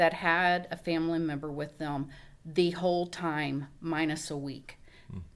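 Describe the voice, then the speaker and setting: A woman's normal speaking voice, fairly low in pitch, with ordinary pitch variation and a moderate pace. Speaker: nurse, wife. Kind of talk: interview testimony.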